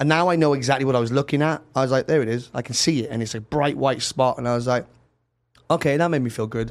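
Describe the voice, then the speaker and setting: At a very fast pace, a man with a Welsh accent uses fairly even intonation at a medium pitch, recorded very cleanly against a silent background. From Wales, Cardiff. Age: 30s. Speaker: musician. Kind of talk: casual interview. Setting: studio.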